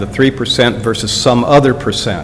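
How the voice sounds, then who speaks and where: A man talks at a medium pitch while noticeable background noise is present. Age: 70s. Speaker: public commenter at township meeting. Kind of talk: public comment at meeting. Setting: township board meeting.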